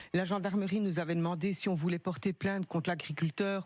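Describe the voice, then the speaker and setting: Dry and close with no echo, a woman speaks with a slight Belgian accent. Her pitch is fairly low, with ordinary variation. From Belgium. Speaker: caller with insurance dispute. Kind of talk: phone-in testimony.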